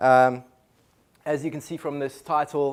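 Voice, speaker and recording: In a very clean recording with a silent background, a man speaks at a medium pitch in a flat monotone. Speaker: conservation director, guest speaker. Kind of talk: seminar talk.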